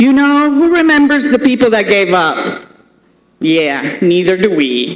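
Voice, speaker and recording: The speaker is a woman with a Spanish accent. Her pitch is fairly high. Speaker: commencement speaker, state senator. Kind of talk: commencement speech. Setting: stage with audience. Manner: formal.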